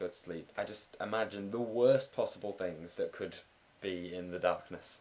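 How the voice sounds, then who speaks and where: A man is speaking. His pace is fairly quick. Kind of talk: casual talk to camera. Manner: droney in places.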